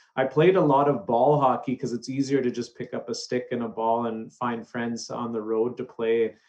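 A man with a Canadian accent has a normal speaking voice at a medium pitch. He talks at a moderate pace with fairly even intonation and hardly any pauses. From Canada, Alberta. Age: 30s. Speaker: hockey play-by-play commentator. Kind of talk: interview conversation.

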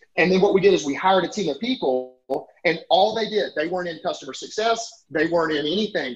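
This man talks with an Alabama accent. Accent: Southern US (Alabama). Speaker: software company CEO. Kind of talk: interview conversation. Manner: animated; fast, talkative.

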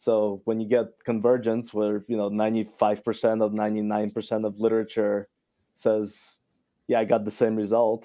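With a Russian accent, a man speaks in a fairly low pitch and a dark, mellow tone, his intonation monotone and flat against a quiet background. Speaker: scientist. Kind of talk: casual interview. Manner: frequent fillers, halting.

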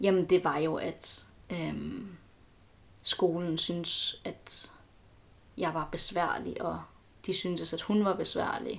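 Long, frequent pauses break up the woman's very slow delivery. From Denmark, Aarhus. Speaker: student. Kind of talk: casual interview. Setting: at home, sitting on the floor. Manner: halting.

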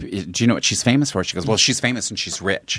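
A man's ordinary speaking voice at a medium pitch, with lively intonation and an American accent, over a quiet background. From Colorado. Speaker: comedian. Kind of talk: casual chat.

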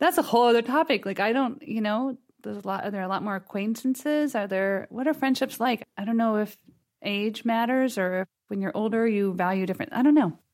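Fairly quick and fairly high-pitched, a woman speaks with ordinary pitch variation. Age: 50s. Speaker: author and intuitive counselor. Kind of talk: casual chat. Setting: studio.

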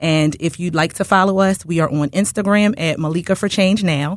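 In an American accent, a woman speaks at a moderate pace with ordinary pitch variation against a quiet background. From Baltimore, then Philadelphia from age 14. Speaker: political candidate, former deputy sheriff. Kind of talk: radio interview. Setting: studio.

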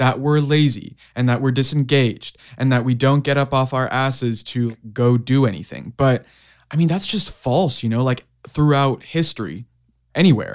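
An ordinary speaking voice from a man, medium in pitch and at a fairly slow pace, in a very clean recording with a silent background. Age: young. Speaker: youth climate activist, podcast co-host. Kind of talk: casual interview.

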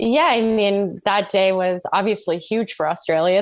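In an ordinary speaking voice with a Canadian accent, the speaker goes at a fairly quick pace with fairly even intonation. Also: woman. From Canada. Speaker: former Olympic aerial skier. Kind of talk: interview.

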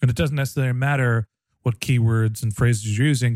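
Dry and close with no echo, a man with a plain, everyday voice talks at medium pitch with ordinary pitch variation. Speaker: podcast host. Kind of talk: scripted intro and interview chat. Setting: studio with microphone.

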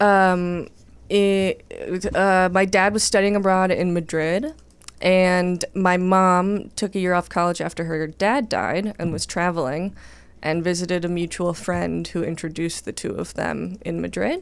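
A woman with a Californian accent at a fairly slow pace, on a very clean recording with a silent background. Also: medium pitch for a woman, ordinary pitch variation. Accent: General American (California). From Los Angeles, North Hollywood. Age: 20s. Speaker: comedian. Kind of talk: casual chat.

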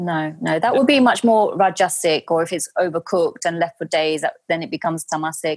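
A woman with a London accent, fairly low in pitch, at a fairly quick pace with ordinary pitch variation, dry and close with no echo. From London, England. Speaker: Ayurveda practitioner. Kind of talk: interview.

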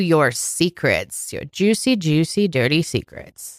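In a very clean recording with a silent background and a dry, close sound with no echo, a woman speaks in a plain, everyday voice, fairly low in pitch, at a fairly slow pace with lively intonation. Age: 20s. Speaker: podcast co-host. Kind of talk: casual chat.

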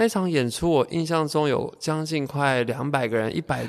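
A man talks at a moderate pace. Very clean recording, silent background. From Taiwan, Taoyuan (Zhongli). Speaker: choreographer and dancer. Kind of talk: casual interview. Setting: artist's rehearsal space.

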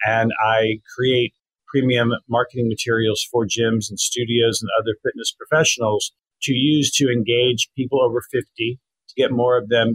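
Man with a normal speaking voice, medium pitch, fairly even intonation, and a moderate pace. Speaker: copywriter and former journalist. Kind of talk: interview.

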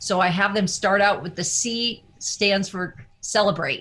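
This woman's tone is bright and sharp. Her pitch sits in the medium range. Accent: US Midwestern. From Iowa, US Midwest. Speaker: wellness coach. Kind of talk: interview.

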